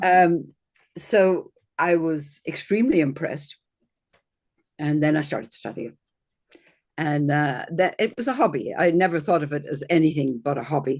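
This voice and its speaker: Speaking at a moderate pace with long, frequent pauses, a woman with an Irish accent has a very deep, low pitch and ordinary pitch variation. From Ireland. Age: 60s. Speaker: astrologer. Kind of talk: interview.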